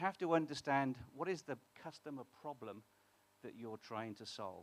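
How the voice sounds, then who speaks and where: Speaking at a moderate pace with a British accent, a man uses a fairly high pitch and lively intonation. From UK. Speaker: startup co-founder. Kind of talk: conference talk. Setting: stage with audience. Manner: halting, many fillers.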